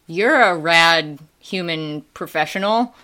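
The tone is bright and sharp, the pace fairly slow, and the pitch varies in an ordinary way. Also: woman. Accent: Midwestern US. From Wisconsin, US Midwest. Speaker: school staff, student activities coordinator. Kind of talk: casual conversational interview.

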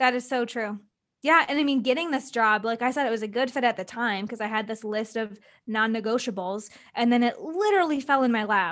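A normal speaking voice with an American accent moves at a fairly quick pace with ordinary pitch variation. The recording is very clean, with a silent background. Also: woman, fairly high pitch for a woman. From US Midwest, small-town Wisconsin. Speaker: entrepreneur and podcast guest. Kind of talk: casual interview chat.

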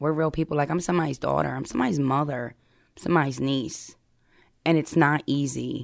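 On a very clean recording with a silent background, a woman with an American accent and a very deep, low pitch speaks fairly quickly with vocal fry, fairly even intonation and big swings in loudness. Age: 30s. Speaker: person in addiction recovery. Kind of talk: personal testimony interview.

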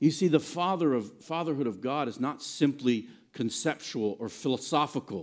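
A man with an unremarkable speaking voice talks at a moderate pace and fairly high pitch, with ordinary pitch variation, on a very clean recording with a silent background. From Virginia. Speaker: pastor. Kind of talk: sermon. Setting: church.

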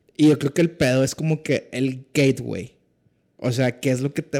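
Here is an unremarkable speaking voice, a man going at a fairly quick pace with fairly even intonation. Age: 30s. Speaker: podcast guest. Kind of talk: casual chat.

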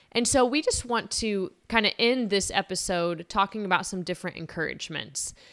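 On a very clean recording with a silent background, a woman with a plain, everyday voice speaks at a medium pitch with lively intonation. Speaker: podcast co-host, parent. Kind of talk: casual chat.

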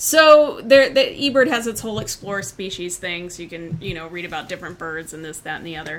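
A fairly low-pitched woman talks at a fairly quick pace with hardly any pauses, very wide pitch swings and big swings in loudness. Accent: American. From Indiana. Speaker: birding podcast host, park ranger. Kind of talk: casual chat.

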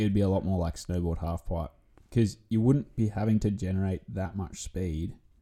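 A man with an Australian accent speaks in a very deep, low voice, dark and mellow in tone, with ordinary pitch variation. The recording is very clean, the background silent. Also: moderate pace. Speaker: surf commentator guest. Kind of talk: casual chat. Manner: loud.

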